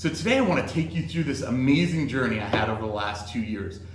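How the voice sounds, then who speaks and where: Against noticeable background noise and audible room echo, a man with a Californian accent talks at medium pitch, his voice making very wide pitch swings. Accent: American, Californian. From US West Coast, Los Angeles. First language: Greek. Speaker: sales executive, presenter. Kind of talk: presentation.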